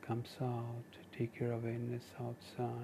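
A man's medium-pitched voice in a calm, soothing tone. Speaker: meditation guide. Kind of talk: guided meditation. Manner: slow, calm, soothing; gentle, measured, with long pauses.

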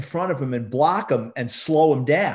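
Speaking at a fairly slow pace, a man talks with a New York accent. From New York City. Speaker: retired police detective and author. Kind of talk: casual interview.

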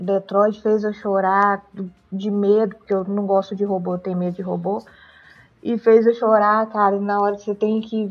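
A woman speaks in monotone, flat intonation at a medium pitch and a moderate pace. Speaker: podcast co-host. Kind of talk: casual chat.

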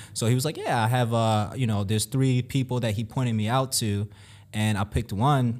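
Over a silent background on a very clean recording, a man with an ordinary speaking voice talks at medium pitch with fairly even intonation. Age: 20s. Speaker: real estate investor. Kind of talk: casual interview.

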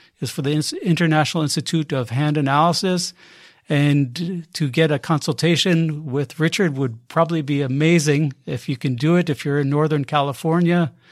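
A man has an ordinary speaking voice, fairly high in pitch. He talks at a moderate pace in a very clean recording with a silent background. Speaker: podcast host. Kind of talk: interview.

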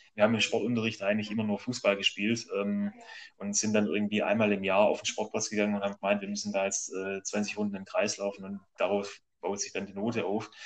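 A very fast, fairly low-pitched male voice with hardly any pauses, monotone, flat intonation and big swings in loudness. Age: 30s. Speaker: amateur road cyclist and graphic designer. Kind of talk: interview. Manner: halting.

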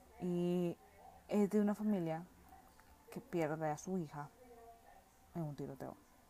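Speaking with a Nicaraguan accent, a woman talks at a fairly slow pace with long, frequent pauses, her fairly low pitch showing ordinary variation. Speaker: film review podcaster. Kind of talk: casual solo monologue.

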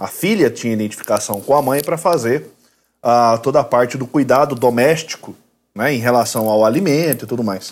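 Captured on a very clean recording with a silent background, a man with a plain, everyday voice speaks at a moderate pace and medium pitch, with lively intonation. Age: 30s. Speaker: lawyer and university professor. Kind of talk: casual chat.

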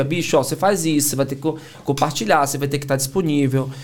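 This man talks at a very fast pace in a fairly high pitch. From Bahia, Brazil (Salvador). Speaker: entrepreneur and sales mentor. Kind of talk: casual chat.

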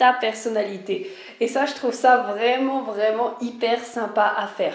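A woman speaks at a fairly slow pace and a high pitch. Noticeable background noise and audible room echo are present. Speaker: life and spiritual mentor, podcaster. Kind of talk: solo podcast monologue. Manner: casual, hesitant with many fillers.

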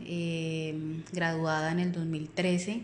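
A woman's fairly low voice, monotone and flat in intonation, with audible room echo. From Colombia, Puerto Boyacá (Boyacá). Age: 30s. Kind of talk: self-introduction. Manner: hesitant, many fillers.

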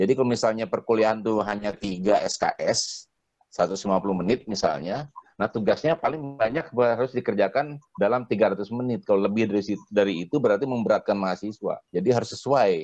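A man with a normal speaking voice talks at a fairly quick pace, medium in pitch with ordinary pitch variation. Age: 50s. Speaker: university rector. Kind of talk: casual chat. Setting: recorded at home.

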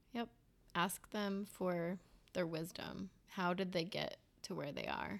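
Very slowly, a woman speaks with vocal fry at a fairly low pitch and fairly even intonation. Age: 30s. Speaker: podcast co-host, stay-at-home mother. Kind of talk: casual chat between spouses.

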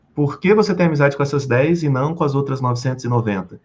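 A man's fairly high, somewhat breathy voice with ordinary pitch variation. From Brazil, Rio de Janeiro. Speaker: sales and communication trainer. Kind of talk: podcast interview. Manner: animated.

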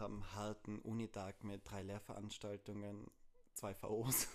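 A man talks at a fairly low pitch. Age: 20s. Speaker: podcast co-host, linguistics student. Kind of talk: casual chat.

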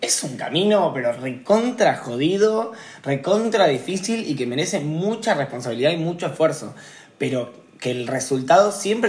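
A man with lively intonation at a moderate pace, with audible room echo. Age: 20s. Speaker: poet. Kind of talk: casual conversation.

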